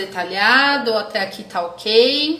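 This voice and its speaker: A woman speaks with a fairly high pitch. Noticeable background noise and audible room echo are present. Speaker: holistic therapist teaching about chakras. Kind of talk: live stream lecture. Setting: Instagram live video stream.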